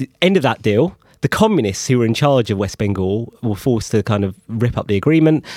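A man with a London accent, medium pitch, lively intonation, a fairly quick pace and a dry, close sound with no echo. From London, Enfield. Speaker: economics journalist. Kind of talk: interview.

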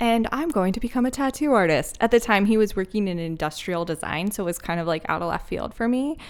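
With an American accent and medium pitch, a woman talks at a very fast pace in an animated tone with lively intonation, captured in a very clean recording with a silent background. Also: hardly any pauses. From Philadelphia. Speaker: marketing consultant. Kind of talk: casual chat. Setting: old school building.

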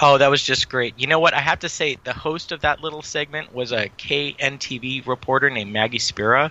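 With an American accent, a man speaks at a fairly quick pace in a fairly high voice, his intonation fairly even. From Santa Clara Valley, California. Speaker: podcast co-host. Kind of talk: casual chat.

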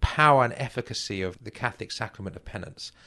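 A man with an English accent speaks with ordinary pitch variation against a quiet background. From England. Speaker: author and literary scholar. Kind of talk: interview discussion about literature.

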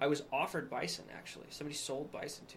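A man speaks with a plain, everyday voice in an American accent. His pitch is fairly high and his pace fairly quick. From Wyoming, US. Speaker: nutrition store owner. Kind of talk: casual chat.

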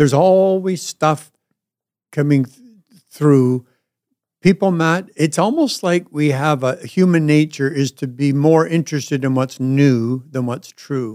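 A man with a Canadian accent, a dark, mellow tone, a fairly high pitch, ordinary pitch variation and a fairly slow pace. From Canada, Ottawa. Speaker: pastor. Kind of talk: casual chat. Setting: studio. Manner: halting.

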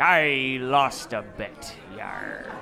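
A put-on character voice over clear background noise. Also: man, medium pitch for a man. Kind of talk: gruff, theatrical.

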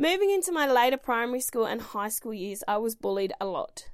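A woman speaks with an Australian accent at a high pitch. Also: very clean recording, silent background. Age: 30s. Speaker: podcast host and swim school owner. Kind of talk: reading aloud; casual monologue.

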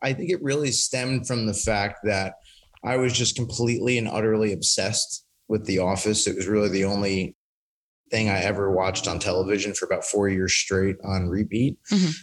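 A man's ordinary speaking voice at a medium pitch, fairly quick in pace and very even in loudness. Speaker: industry company representative. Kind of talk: casual chat.

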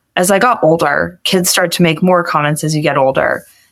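Here is a normal speaking voice at a moderate pace. Its pitch variation is ordinary. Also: woman. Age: young. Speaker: college student with Marfan syndrome, caregiver to her father. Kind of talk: interview.

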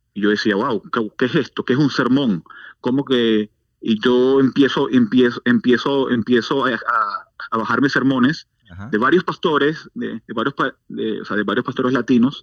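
A man with an ordinary speaking voice talks at a medium pitch and a moderate pace, with ordinary pitch variation. The sound is dry and close, with no echo, against a quiet background. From Venezuela. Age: 40s. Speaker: church outreach director. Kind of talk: testimony.

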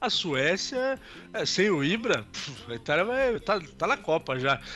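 A man at a fairly slow pace with lively intonation, music in the background. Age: 30s. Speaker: sports podcast co-host. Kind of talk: casual chat.

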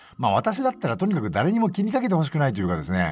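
The speech runs very fast with very wide pitch swings over noticeable background noise. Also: man. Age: 40s. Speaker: podcast host. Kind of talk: casual monologue.

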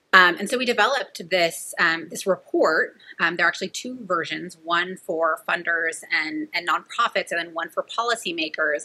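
A woman speaks with a Californian accent at a moderate pace and a fairly low pitch. Her pitch variation is ordinary, with noticeable background noise behind her. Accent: Californian American. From California, Central Valley. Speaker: nonprofit director. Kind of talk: interview.

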